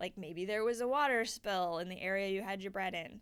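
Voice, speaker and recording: A woman speaks at a medium pitch. Her pitch varies in an ordinary way. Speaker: science outreach educator. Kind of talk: tutorial. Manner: fast; casual.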